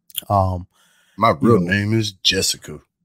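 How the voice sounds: A man's husky, put-on character voice, fairly low in pitch, with fairly even intonation.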